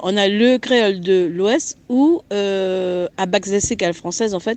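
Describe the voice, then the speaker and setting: With a French Guianese accent, a woman speaks fairly slowly at a medium pitch, her intonation lively. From French Guiana. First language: Guianese Creole (speaking French). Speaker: guest speaking on Creole language and culture. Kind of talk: interview answers. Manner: halting, many hesitations.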